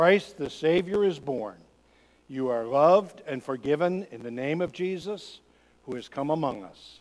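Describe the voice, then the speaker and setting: A man speaks at a fairly slow pace. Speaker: pastor leading worship. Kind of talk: liturgy reading. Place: church.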